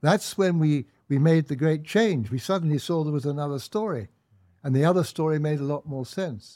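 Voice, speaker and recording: In a very clean recording with a silent background, a man with a fairly high pitch and a dark, mellow tone speaks at a fairly quick pace with ordinary pitch variation. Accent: English. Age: 80s+. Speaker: author and commentator. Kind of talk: interview.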